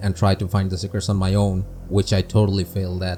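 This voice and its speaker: This man speaks fairly quickly while music plays behind him. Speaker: gaming video creator. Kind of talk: scripted game review narration. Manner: monotone.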